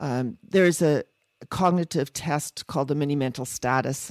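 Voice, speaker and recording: A woman speaks at a moderate pace with a very deep, low pitch. Her voice sounds dry and close with no echo, on a very clean recording with a silent background. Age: 60s. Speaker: psychiatrist guest. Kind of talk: personal interview storytelling.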